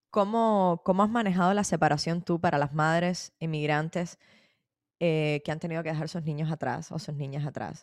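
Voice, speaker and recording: The pace here is moderate, with ordinary pitch variation. It is an unremarkable speaking voice. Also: woman, fairly low pitch for a woman. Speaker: podcast host. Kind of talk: interview.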